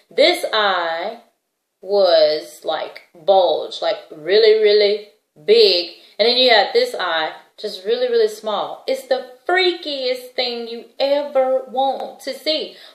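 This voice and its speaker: A woman with a high-pitched voice talks at a very slow pace, her pitch swinging very widely. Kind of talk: testimony. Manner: casual conversational.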